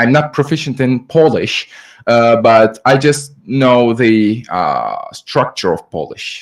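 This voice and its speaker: A man with a Turkish accent at a very slow pace, medium pitch and ordinary pitch variation. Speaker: audience member asking a question. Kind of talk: audience question. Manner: halting, many fillers.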